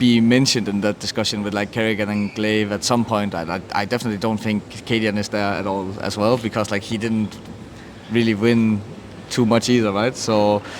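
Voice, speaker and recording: A man with a Danish accent, fairly low pitch and monotone, flat intonation amid noticeable background noise. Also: fairly quick pace. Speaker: esports team captain. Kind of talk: interview.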